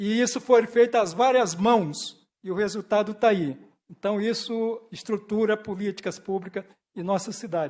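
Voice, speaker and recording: His speech is fairly slow. The man's pitch is high. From Brazil, Bahia, moved to Santos at eleven. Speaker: honoree, former political aide. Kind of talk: acceptance speech. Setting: city council ceremonial session.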